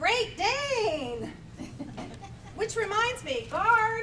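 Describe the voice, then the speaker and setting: A woman's squeaky, put-on character voice against clear background noise. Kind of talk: comic community theatre. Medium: stage play.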